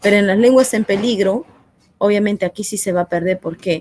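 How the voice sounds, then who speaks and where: A woman with an Andean accent speaks at a fairly quick pace, her voice dry and close with no echo. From Peru, central jungle (Satipo), Andean parents. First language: Quechua (speaking Spanish). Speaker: teacher. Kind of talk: classroom lesson. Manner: hesitant, many fillers.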